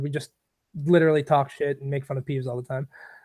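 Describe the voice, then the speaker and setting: The man talks in an American accent, his pitch fairly high. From New York. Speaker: gamer, livestream interview guest. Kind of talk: casual interview chat. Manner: loud; excitable, hype.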